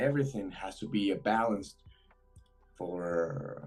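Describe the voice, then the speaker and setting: With a Spanish accent, a man talks in a lively intonation. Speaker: trader. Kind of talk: live trading stream chat. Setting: video call. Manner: halting.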